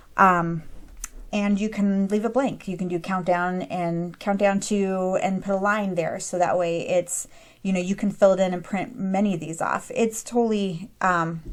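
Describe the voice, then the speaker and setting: A woman with an ordinary speaking voice, fairly even intonation and a moderate pace. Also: medium pitch for a woman. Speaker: craft and printables tutorial creator. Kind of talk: screen-recorded software tutorial. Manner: casual with frequent fillers (um, uh).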